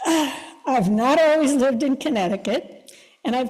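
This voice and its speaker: A woman's high-pitched voice with lively intonation at a fairly slow pace, with audible room echo and noticeable background noise. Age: 70s. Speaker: congregation member. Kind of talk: personal testimony. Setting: church service.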